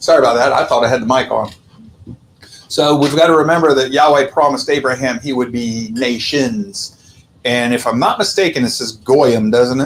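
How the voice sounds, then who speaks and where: Over noticeable background noise, a man with a medium pitch speaks at a moderate pace. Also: ordinary pitch variation. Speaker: Bible study teacher. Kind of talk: Bible study lecture.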